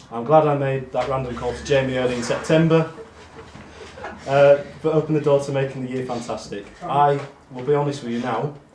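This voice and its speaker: A man with a fairly high voice talks at a fairly quick pace with fairly even intonation, but his loudness swings a lot. Long pauses come often, and background noise is noticeable. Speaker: amateur football team member giving awards speech. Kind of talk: speech at awards night. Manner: monotone.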